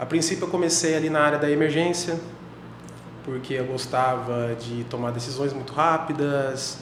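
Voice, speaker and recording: The speech moves at a moderate pace with fairly even intonation. Noticeable background noise and audible room echo are present. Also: man. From Brazil, Paraná (Londrina). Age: 30s. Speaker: intensive care doctor. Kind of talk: podcast interview. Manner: hesitant, repeats words.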